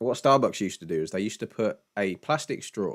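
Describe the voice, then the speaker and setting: With a British accent, a man speaks fairly low in pitch with lively intonation at a moderate pace, the sound dry and close with no echo. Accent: British, glottal t. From Britain, mixed regions. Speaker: live-stream Q&A host, spiritual teacher. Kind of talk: casual chat. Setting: live stream. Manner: halting, many repetitions.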